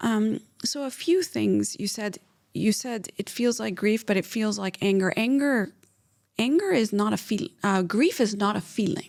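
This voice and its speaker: In an ordinary speaking voice, a woman with an American accent talks at a fairly slow pace, fairly high in pitch with ordinary pitch variation. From Pakistan, then US Midwest from age 9. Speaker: clinical psychologist. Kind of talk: interview.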